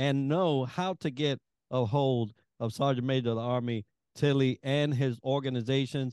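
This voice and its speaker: A man with an ordinary speaking voice, fairly high in pitch, talks at a moderate pace. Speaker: podcast co-host. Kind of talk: interview.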